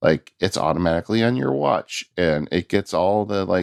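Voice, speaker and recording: A man with a very deep, low pitch speaks with vocal fry at a moderate pace. His pitch varies in an ordinary way, and the sound is dry and close with no echo. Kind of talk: casual chat.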